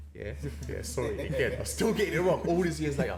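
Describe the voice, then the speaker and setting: Somewhat breathy, a man speaks in a Cockney accent amid audible room echo. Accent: Cockney, East London. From east London, England. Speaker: podcast guest. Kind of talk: casual chat.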